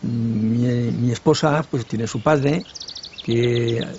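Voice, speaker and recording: A man speaks in a fairly even tone while noticeable background noise plays behind him. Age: 70s. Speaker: village elder. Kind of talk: documentary interview. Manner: halting.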